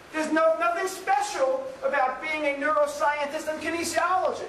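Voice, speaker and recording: A man speaks at a moderate pace with an extremely high voice. Background noise is noticeable and the room echoes audibly. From New York City. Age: 50s. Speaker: professor. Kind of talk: lecture.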